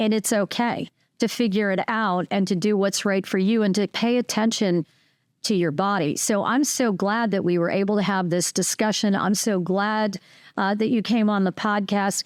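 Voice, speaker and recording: An ordinary speaking voice, a woman talks at medium pitch and a moderate pace with very even loudness and fairly even intonation, recorded very clean with a silent background and a dry, close sound with no echo. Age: 50s. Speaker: podcast host. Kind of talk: casual chat.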